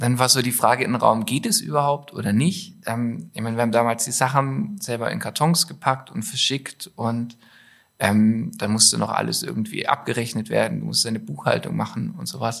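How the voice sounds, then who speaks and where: A man talks at a moderate pace in a normal speaking voice. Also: medium pitch for a man, lively intonation. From Stuttgart, southwest Germany. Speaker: clothing designer and entrepreneur. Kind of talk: casual interview.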